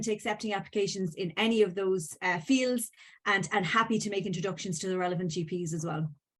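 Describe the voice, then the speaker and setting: In an Irish accent, a woman talks at a very fast pace with a medium pitch and fairly even intonation against a quiet background. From Ireland. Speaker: venture capital firm legal counsel, panelist. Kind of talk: panel discussion. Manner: hesitant, many fillers.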